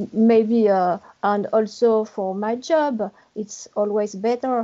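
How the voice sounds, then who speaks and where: In a French accent, a woman speaks at a very slow pace with a fairly high pitch. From France, Paris area. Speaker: English learner. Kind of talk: interview. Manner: halting.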